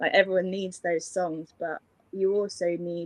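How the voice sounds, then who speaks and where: Speaking at a moderate pace with a British accent, a woman uses a fairly low pitch and monotone, flat intonation, recorded with a dry, close sound with no echo. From England. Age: 20s. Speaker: singer-songwriter. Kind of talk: interview answer. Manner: casual, chatty.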